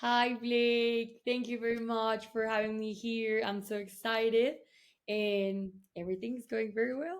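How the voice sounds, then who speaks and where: Her intonation fairly even, a woman talks at a fairly slow pace in a fairly high pitch. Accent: Colombian. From Colombia. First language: Spanish. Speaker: tech event co-founder. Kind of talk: interview.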